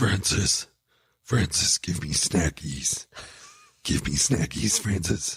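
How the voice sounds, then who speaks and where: A man uses a put-on character voice with a very deep, low pitch. He goes at a very slow pace with long, frequent pauses. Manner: silly, whiny.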